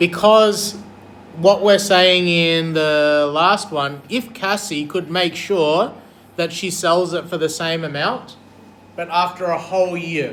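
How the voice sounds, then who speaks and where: A man's high voice at a very slow pace, with audible room echo. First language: not English. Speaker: maths teacher. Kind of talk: classroom lesson. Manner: animated.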